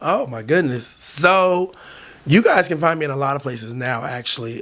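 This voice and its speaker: This man's fairly high voice moves at a moderate pace. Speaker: LGBTQ entertainer and event host. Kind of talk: casual interview chat. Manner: loud.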